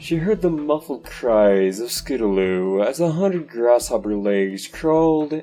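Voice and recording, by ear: The intonation rises and falls in a lively way. A natural voice reads the text aloud.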